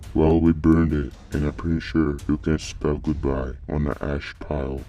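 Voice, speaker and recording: A man uses a put-on character voice with a very deep, low pitch, speaking at a moderate pace over light background noise. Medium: read story. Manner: sober, matter-of-fact.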